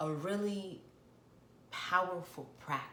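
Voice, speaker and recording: A woman speaks at a very slow pace. Noticeable background noise can be heard behind her. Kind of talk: guided healing talk to camera. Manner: soft, whispered, gentle.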